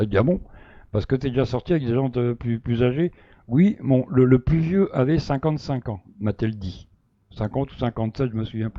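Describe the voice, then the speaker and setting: A man at medium pitch with ordinary pitch variation, a moderate pace, and big swings in loudness. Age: 60s. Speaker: live stream participant defending himself. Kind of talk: casual live chat, recounting a story. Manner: hesitant, many fillers and repetitions.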